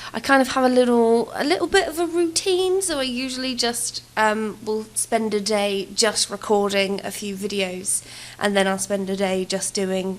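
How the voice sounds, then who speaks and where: Speaking at a moderate pace with hardly any pauses, a woman uses a medium pitch. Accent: English. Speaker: gaming YouTuber. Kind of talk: voiceover commentary. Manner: casual, hesitant with many fillers.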